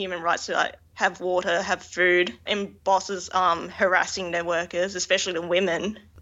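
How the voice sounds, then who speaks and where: A woman's medium-pitched voice at a moderate pace, with hardly any pauses. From Australia. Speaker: fashion designer. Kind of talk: interview.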